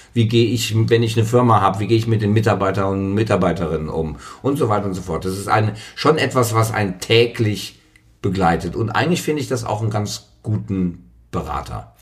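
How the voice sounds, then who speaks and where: A man's fairly low pitch and ordinary pitch variation at a fairly quick pace, with music in the background. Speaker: podcast guest. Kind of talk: casual chat. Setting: dressing room.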